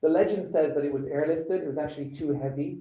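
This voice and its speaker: A somewhat breathy man's voice in a British accent, fairly high in pitch, at a fairly quick pace. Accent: British-tinged accent from years in the UK. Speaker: show host and designer. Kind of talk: live presentation of a design challenge brief. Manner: conversational, with frequent fillers.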